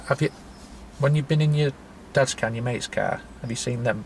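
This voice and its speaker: A man's fairly high voice at a fairly quick pace with fairly even intonation, amid noticeable background noise. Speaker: trainee driving instructor. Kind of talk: instructional role-play lesson. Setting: in a car. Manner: halting.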